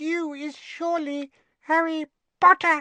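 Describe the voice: A squeaky put-on character voice speaks slowly with little pitch movement. Its tone is bright and sharp, with a dry, close sound and no echo.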